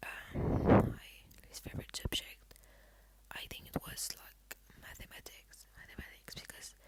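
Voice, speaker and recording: Someone whispers at a fairly slow pace. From Belgium and Poland. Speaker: ASMR creator. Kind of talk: casual Q&A, ASMR. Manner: soft-spoken; halting, many fillers. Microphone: laptop.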